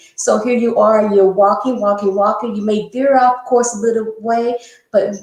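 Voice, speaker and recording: Here is a woman with a normal speaking voice and a fairly high pitch. She speaks at a moderate pace. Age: 60s. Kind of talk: interview. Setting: live stream.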